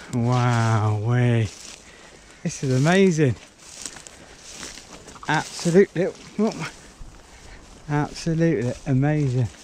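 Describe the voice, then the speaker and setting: Recorded dry with no echo and light background noise, a man speaks at a very slow pace with long, frequent pauses and lively intonation. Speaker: urban explorer vlogger. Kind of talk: casual vlog commentary. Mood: excited, amazed. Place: open country. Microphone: phone near.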